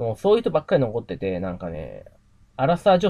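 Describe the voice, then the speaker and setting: A man's medium-pitched voice at a very fast pace, with very wide pitch swings. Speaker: YouTuber and investor. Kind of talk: casual vlog monologue. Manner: rambling, many fillers.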